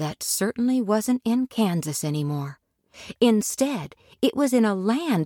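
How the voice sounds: Natural-sounding reading, pitch moving in a lively way, little background sound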